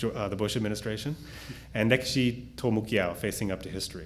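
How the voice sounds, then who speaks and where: At a very fast pace, a man talks in a fairly low-pitched voice. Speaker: professor introducing panelists. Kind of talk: formal speaker introductions, reading bios.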